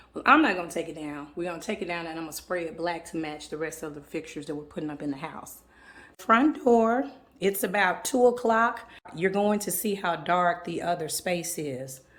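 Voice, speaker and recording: With lively intonation and big swings in loudness, the voice moves at a fairly quick pace in a Southern US accent. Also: woman, fairly low pitch for a woman. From US South. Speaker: home decor vlogger. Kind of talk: home tour vlog. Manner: casual, chatty.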